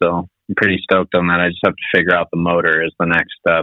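The speaker is a man with an American accent. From Finland, then US from about age eight. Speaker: moped builder. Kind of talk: casual chat.

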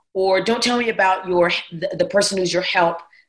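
A normal speaking voice with an American accent at a fairly quick pace. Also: woman. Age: 40s. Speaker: pastor. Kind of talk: casual chat.

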